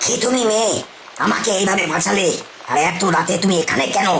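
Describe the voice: A cartoonish character voice at a middle pitch moves at a moderate pace over loud background noise.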